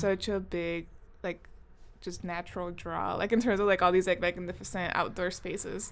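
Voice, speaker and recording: Her medium pitch marked by vocal fry, a woman talks at a moderate pace in a monotone, flat intonation. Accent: American. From US West Coast (Compton/Long Beach, California). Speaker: podcast co-host, climate justice organizer. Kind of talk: casual chat.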